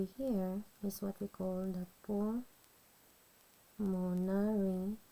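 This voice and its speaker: The woman's tone is dark and mellow, at a medium pitch, with a non-native accent. Her intonation is flat and monotone, broken by long, frequent pauses. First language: not English. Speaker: nursing student. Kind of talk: educational tutorial explanation.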